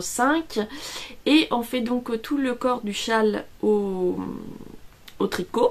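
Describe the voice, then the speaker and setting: A woman's fairly high voice at a very slow pace, in a very clean recording with a silent background. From Italy. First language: Italian (speaking French). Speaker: knitting vlogger. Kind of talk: casual vlog. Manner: hesitant, many fillers.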